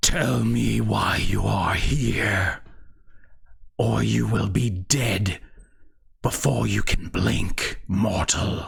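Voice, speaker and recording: A man uses a put-on character voice that is raspy and very deep, talking at a very slow pace with long, frequent pauses. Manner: menacing, threatening.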